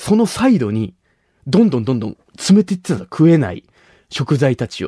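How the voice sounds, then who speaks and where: A man speaks at a fairly quick pace with a fairly high pitch, very wide pitch swings and big swings in loudness, his tone dark, mellow and somewhat breathy. The recording is very clean with a silent background and a dry, close sound with no echo. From Nagasaki, Japan (Shimabara). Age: 20s. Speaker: comedian. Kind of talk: solo monologue. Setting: studio.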